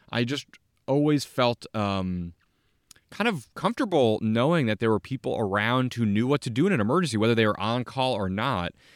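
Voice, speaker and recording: Recorded very cleanly with a silent background and a dry, close sound with no echo, a man with an American accent speaks at a fairly quick pace in a medium-pitched voice with lively intonation, an unremarkable speaking voice. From New Jersey, US. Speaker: podcast host, former mayor and town manager. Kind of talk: solo autobiographical monologue.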